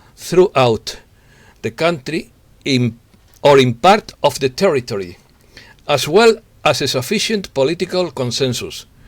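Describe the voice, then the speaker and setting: A man with a Spanish accent, fairly high in pitch, with lively intonation. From Spain. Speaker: journalist. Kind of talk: news reading. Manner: halting, with self-repetitions.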